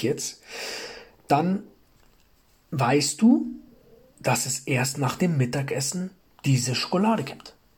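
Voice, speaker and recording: A somewhat breathy man speaks at a very slow pace. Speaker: self-improvement podcast host. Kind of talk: motivational monologue. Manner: frequent pauses; repeats words, halting.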